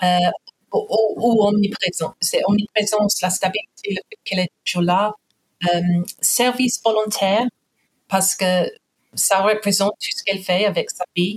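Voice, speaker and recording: In an English accent, a woman of medium pitch speaks at a fairly slow pace with monotone, flat intonation and long, frequent pauses, the sound dry and close with no echo. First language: English (speaking French). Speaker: guest. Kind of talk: interview. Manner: halting.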